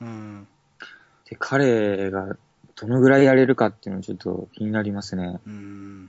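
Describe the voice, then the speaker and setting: Speaking at a fairly slow pace, a man holds a fairly low pitch with fairly even intonation. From Okinawa, Japan. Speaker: basketball shop employee and fan. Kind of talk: casual chat.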